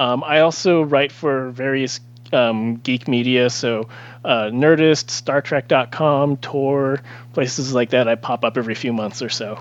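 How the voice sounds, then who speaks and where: This is an ordinary speaking voice at a fairly slow pace. The intonation stays fairly even. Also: man, medium pitch for a man. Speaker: author. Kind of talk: casual chat.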